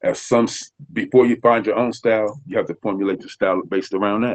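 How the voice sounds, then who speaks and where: Using an American accent, a man talks at a fairly quick pace with fairly even intonation. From Nebraska. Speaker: rapper. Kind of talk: interview.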